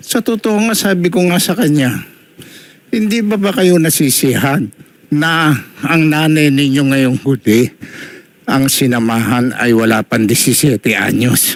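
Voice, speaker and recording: A man's fairly high voice with very wide pitch swings and very even loudness. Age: 70s. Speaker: elderly father in a family dispute. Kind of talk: complaint testimony.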